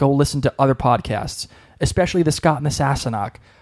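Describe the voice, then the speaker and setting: Recorded with a dry, close sound and no echo, a man with a Boston accent speaks at a fairly high pitch. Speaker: podcast co-host. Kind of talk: casual chat.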